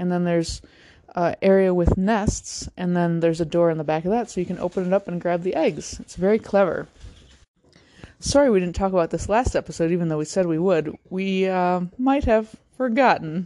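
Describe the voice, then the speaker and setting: A woman speaks at a fairly quick pace. Hers is a plain, everyday voice at a medium pitch. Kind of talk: mock traffic report, playful deadpan news-anchor banter. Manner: deadpan, joking, trading lines with co-anchor.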